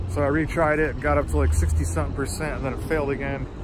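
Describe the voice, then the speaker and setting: Noticeable background noise accompanies a man speaking fairly quickly in a dry sound with no echo. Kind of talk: casual vlog chat. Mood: mildly frustrated. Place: street. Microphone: phone near.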